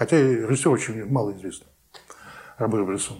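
A somewhat breathy voice speaks at a fairly quick pace. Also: man. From Saint Petersburg, Russia. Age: 50s. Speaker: real estate forum organizer. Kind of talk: interview. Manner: halting.

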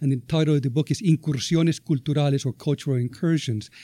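Dark and mellow in tone, a man speaks with a Spanish accent and fairly even intonation. The sound is dry and close, with no echo. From Venezuela. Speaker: professor. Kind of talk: panel talk to a live audience. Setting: university event room with audience.

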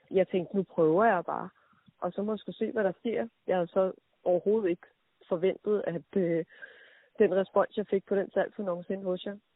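A woman speaks at a moderate pace with a medium pitch. Her intonation stays fairly even. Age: 30s. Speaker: entrepreneur. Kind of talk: interview. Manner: hesitant, many fillers.

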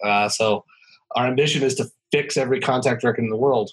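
With an American accent, a man speaks at a fairly quick pace in a normal speaking voice. His pitch is medium with ordinary pitch variation. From rural Montana. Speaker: tech company founder and CEO. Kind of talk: interview.

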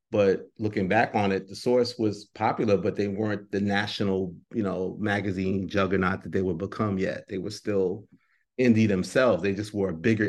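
An unremarkable speaking voice from a man with an American accent, fairly low in pitch. He talks at a fairly quick pace with fairly even intonation over a quiet background. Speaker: hip-hop journalist and editor. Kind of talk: interview answers, reflective career talk.

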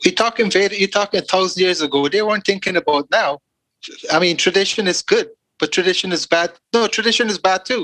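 A man speaks in a raised, projected voice with a high pitch. His pace is very fast. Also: ordinary pitch variation, dry, close sound with no echo. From Guyana. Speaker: podcast guest. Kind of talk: casual chat.

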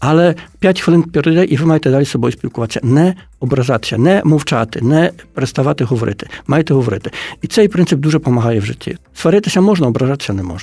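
Talking at a very fast pace, a man with a fairly high pitch and a dark, mellow tone uses lively intonation. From Poland (Ukrainian community, Lemko roots). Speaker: book publisher. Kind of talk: radio interview.

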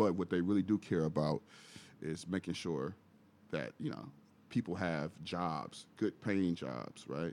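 Man with an American accent, very deep, low pitch, vocal fry, moderate pace. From Milwaukee, Wisconsin. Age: 30s. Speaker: community organizer. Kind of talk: casual chat.

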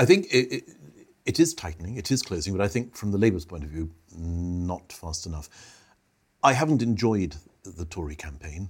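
Somewhat breathy and very deep, a man's low voice has lively intonation and big swings in loudness. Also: moderate pace, very clean recording, silent background. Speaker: podcast host and consultancy chairman. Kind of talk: moderated discussion on politics.

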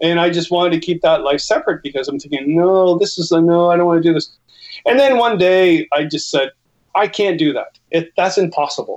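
A man with a Canadian accent, high-pitched, with ordinary pitch variation at a fairly quick pace. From Canada. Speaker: outdoor author and educator. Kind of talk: casual interview chat. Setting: video call.

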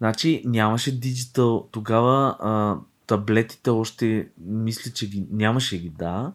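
Recorded very cleanly against a silent background, a man uses an ordinary speaking voice at a medium pitch, speaking at a fairly slow pace with ordinary pitch variation. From Bulgaria, Dragoman. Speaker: podcast co-host, designer. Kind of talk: casual chat.

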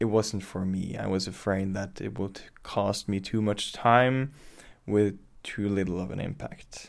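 This man speaks in a Norwegian accent, his fairly low voice showing ordinary pitch variation. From western Norway. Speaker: climate activist. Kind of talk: interview. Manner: halting.

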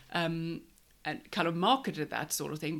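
A speaker with a Swedish accent is heard on a very clean recording with a silent background. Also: woman. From Sweden. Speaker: catering business owner. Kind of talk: casual chat.

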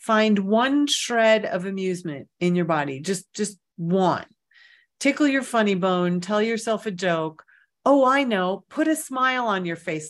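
Over a quiet background, a woman with medium pitch speaks fairly slowly in an unremarkable speaking voice with lively intonation. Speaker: meditation guide and clairvoyant reader. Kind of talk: guided meditation. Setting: online virtual session, from home. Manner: gentle, unhurried, soothing; warm, conversational.

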